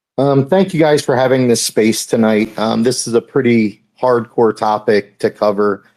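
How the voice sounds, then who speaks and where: An ordinary speaking voice, fairly slow in pace, with fairly even intonation. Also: man. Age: 40s. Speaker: hunter. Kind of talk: casual chat. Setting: video call.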